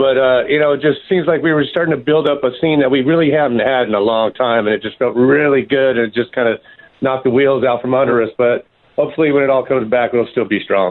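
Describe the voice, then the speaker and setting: A man at a medium pitch, talking at a very fast pace with an American accent. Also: ordinary pitch variation. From San Diego, California. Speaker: rock musician. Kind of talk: casual radio interview. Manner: laid-back, slangy.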